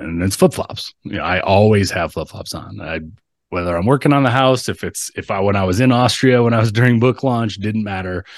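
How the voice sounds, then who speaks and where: Over a quiet background, a man speaks at a fairly quick pace in an ordinary speaking voice with a fairly low pitch. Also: ordinary pitch variation. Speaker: entrepreneur, author, coach. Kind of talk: interview, casual chat.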